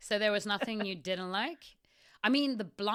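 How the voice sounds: Pitch varies by an ordinary amount in this natural reading voice.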